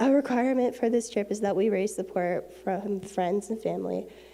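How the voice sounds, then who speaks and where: With noticeable background noise behind her, a woman speaks at a moderate pace with medium pitch and fairly even intonation. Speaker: Bible college student. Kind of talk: prepared church announcement.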